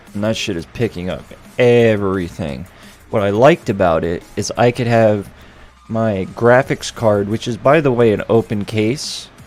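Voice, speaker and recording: Fairly low-pitched man at a fairly slow pace, ordinary pitch variation, noticeable background noise behind him. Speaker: streamer. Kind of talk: casual chat.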